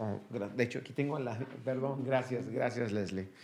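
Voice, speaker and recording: Audible room echo surrounds the speaker. He is a man with a medium pitch. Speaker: pastor. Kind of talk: sermon. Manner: halting.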